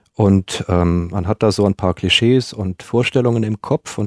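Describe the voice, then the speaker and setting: An unremarkable speaking voice with ordinary pitch variation moves at a moderate pace, with a dry, close sound with no echo and a very clean recording with a silent background. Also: man. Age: 40s. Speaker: male escort. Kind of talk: interview. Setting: studio.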